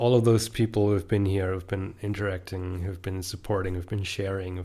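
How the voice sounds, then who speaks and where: A man with a German accent speaks at a moderate pace in a very deep, low pitch, with a dark, mellow tone, a somewhat breathy quality and monotone, flat intonation. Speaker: author and YouTuber. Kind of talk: casual podcast monologue. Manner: hesitant, many fillers.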